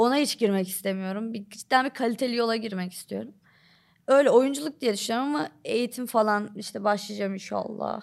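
A woman's ordinary speaking voice, fairly high in pitch with ordinary pitch variation, on a very clean recording with a silent background. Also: fairly quick pace. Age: 20s. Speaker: TikTok comedy creator. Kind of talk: casual chat.

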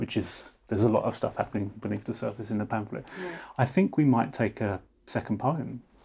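A man with a southern English accent talks at a fairly quick pace and medium pitch. His tone is dark and mellow, with vocal fry and lively intonation. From London. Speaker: podcast host. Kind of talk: interview conversation.

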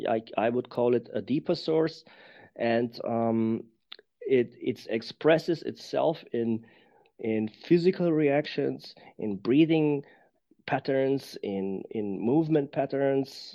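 A man with a German accent speaks very slowly at a fairly high pitch. His pitch varies in an ordinary way. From Germany. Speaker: embodiment teacher. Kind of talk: casual interview chat. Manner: halting, searching for words.

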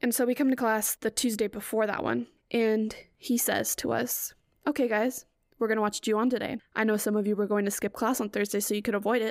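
With an American accent, a woman speaks fairly quickly at a fairly high pitch, her intonation monotone and flat and her loudness very even, on a very clean recording with a silent background. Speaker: podcast host. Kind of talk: casual solo chat. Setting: home recording. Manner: soft-spoken; frequent laughter.

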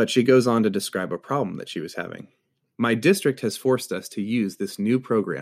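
Talking at a fairly quick pace, a man with an ordinary speaking voice and medium pitch shows ordinary pitch variation in a very clean recording with a silent background. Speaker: podcast host. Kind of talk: scripted podcast intro and interview.

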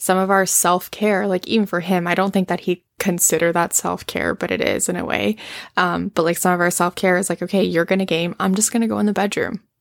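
A woman has an ordinary speaking voice, medium in pitch, with fairly even intonation at a fairly quick pace. The recording is very clean with a silent background, and the sound is dry and close with no echo. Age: 20s. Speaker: podcast co-host. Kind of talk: casual chat.

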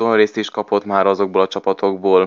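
Speaking very fast, a man keeps a monotone, flat intonation at a fairly low pitch. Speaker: football pundit. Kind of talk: casual football discussion.

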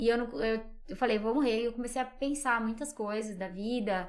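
A woman speaks at a fairly quick pace with ordinary pitch variation. She has a normal speaking voice. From Brazil, Minas Gerais and São Paulo interior. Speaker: psychologist and communicator, podcast guest. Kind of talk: casual interview chat.

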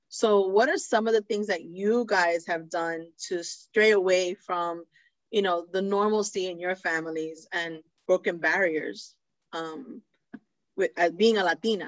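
This woman has a normal speaking voice at a medium pitch. She talks at a fairly slow pace with ordinary pitch variation. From New York City (the Bronx), Puerto Rican parents. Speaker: podcast host. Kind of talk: casual chat.

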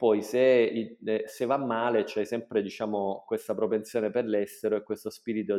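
A man speaks with a fairly low pitch. His intonation is flat and monotone. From southern Italy, Salento (Apulia). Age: 40s. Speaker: hotel entrepreneur. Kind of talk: interview.

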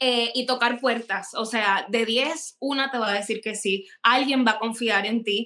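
With a bright, sharp tone and fairly even intonation, a woman speaks at a fairly high pitch. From Puerto Rico. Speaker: celebrity fashion stylist. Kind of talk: casual interview.

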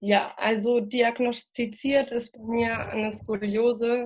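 A woman talks at a very slow pace. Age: 20s. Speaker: cannabis patient and activist. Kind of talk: interview.

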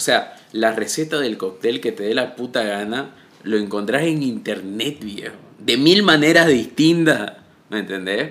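With a normal speaking voice, a man of medium pitch talks at a fairly slow pace with lively intonation. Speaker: podcast host. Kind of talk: casual interview. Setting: in person, recorded together.

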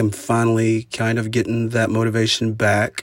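A man talks in an Oklahoma accent. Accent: rural Oklahoma American. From southeastern Oklahoma, US. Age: 40s. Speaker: podcaster and musician. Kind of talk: solo monologue podcast. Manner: halting, many fillers; informal, conversational.

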